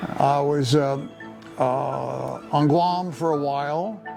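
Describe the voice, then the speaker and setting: Over music in the background, a man with an American accent speaks at a fairly high pitch with fairly even intonation. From Paterson, New Jersey. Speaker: retired engineer. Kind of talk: interview answer, life story. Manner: hesitant, many fillers.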